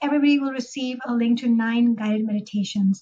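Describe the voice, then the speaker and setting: A woman with a high pitch and a dark, mellow tone speaks with fairly even intonation. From Pakistan. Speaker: therapist and author. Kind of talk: interview.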